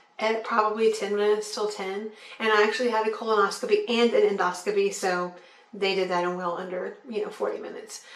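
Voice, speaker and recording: Amid noticeable background noise and audible room echo, a woman with a fairly high pitch talks at a very fast pace with fairly even intonation. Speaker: vlogger. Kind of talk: video diary. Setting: home. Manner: casual, relaxed.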